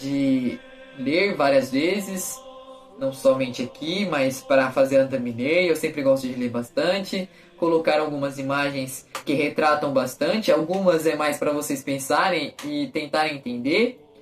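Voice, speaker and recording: A man with a fairly high pitch speaks in an animated tone over noticeable background noise. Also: ordinary pitch variation, fairly slow pace. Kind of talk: gospel reading and reflection. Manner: informal, animated.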